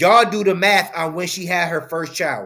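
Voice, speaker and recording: The background is quiet. A man is talking. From US. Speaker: commentator. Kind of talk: angry rant, opinionated commentary on a news story, lecturing and scolding. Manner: indignant, emphatic, repeating lines for punch. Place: home room.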